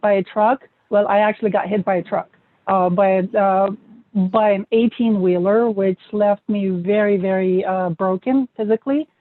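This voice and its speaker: A non-native accent at a moderate pace. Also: woman. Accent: foreign. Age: 40s. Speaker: M&A expert, author. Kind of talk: interview.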